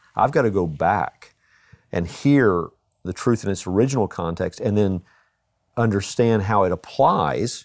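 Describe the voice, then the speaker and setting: A man with a Texan accent speaks in a fairly low pitch with ordinary variation. The recording is very clean with a silent background. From Texas. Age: 60s. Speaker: pastor. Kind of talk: casual chat.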